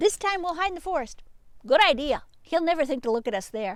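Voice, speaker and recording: Putting on a character voice, a woman talks at a fairly quick pace in a high pitch. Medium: read story.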